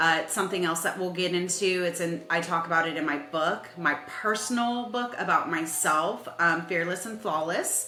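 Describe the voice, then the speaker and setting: Over music in the background and audible room echo, a woman speaks at a fairly slow pace in a fairly low pitch. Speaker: podcast host and author. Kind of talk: personal monologue podcast.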